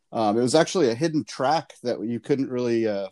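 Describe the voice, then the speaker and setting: In a very clean recording with a silent background and a dry, close sound with no echo, a man talks at a fairly quick pace in an unremarkable speaking voice, medium in pitch with ordinary pitch variation. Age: 40s. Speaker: podcast guest. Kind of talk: casual chat.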